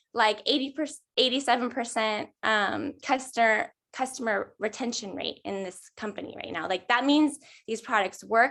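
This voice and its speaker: Set against a quiet background, an unremarkable speaking voice moves at a moderate pace with ordinary pitch variation and big swings in loudness. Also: woman. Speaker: network marketing ambassador. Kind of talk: team call sharing tips.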